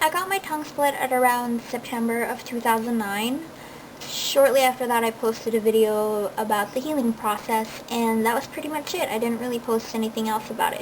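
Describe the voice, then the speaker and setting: Amid noticeable background noise, a woman talks at a fairly quick pace and a fairly high pitch with ordinary pitch variation. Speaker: body modification enthusiast. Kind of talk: casual talk to camera. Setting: home recording, low-quality camera audio.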